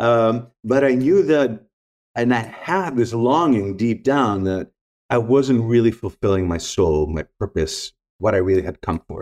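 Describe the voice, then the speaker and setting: A man with a Greek accent talks at a fairly slow pace in a medium pitch, his intonation lively. The sound is dry and close with no echo, and the background is quiet. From Greece. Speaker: spiritual teacher and former photographer. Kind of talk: casual interview chat.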